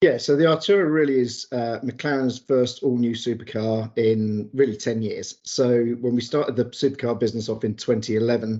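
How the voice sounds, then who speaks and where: A man with a British accent talks at a moderate pace with hardly any pauses. His pitch is medium and his intonation fairly even. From England. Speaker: automotive PR executive. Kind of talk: interview.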